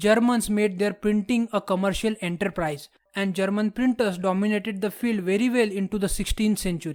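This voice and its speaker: The recording is very clean, with a silent background. A man with a non-native accent speaks at a moderate pace in a high pitch. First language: not English. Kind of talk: history documentary narration.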